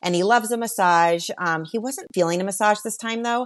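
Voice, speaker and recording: Against a quiet background, the speaker talks at a moderate pace in an animated tone. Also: woman. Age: 40s. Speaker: podcast guest, travel podcast host. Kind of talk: casual interview chat.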